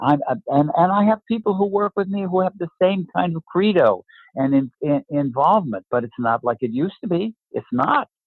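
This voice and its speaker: A man with a high voice speaks at a moderate pace, his pitch swinging very widely. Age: 80s+. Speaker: acting teacher. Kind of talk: interview conversation. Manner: halting, repeats words.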